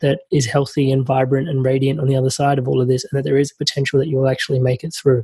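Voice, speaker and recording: A man's very fast, somewhat breathy voice, fairly high in pitch with a dark, mellow tone. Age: young. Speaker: podcast host. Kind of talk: podcast interview.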